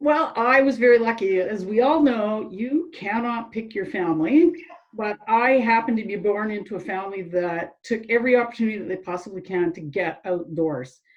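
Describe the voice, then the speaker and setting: Here is a woman with a Canadian accent and an unremarkable speaking voice, pitched fairly high. She moves at a moderate pace with hardly any pauses, her loudness swinging widely. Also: lively intonation. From western Canada, Calgary. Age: 60s. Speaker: cycling club member. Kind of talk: interview.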